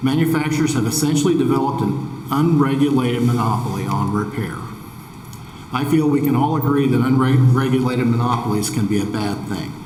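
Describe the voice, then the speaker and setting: A man with an American accent speaks at a fairly quick pace and a medium pitch. Noticeable background noise and audible room echo are present. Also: ordinary pitch variation. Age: 60s. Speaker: farmer. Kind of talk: testimony. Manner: formal.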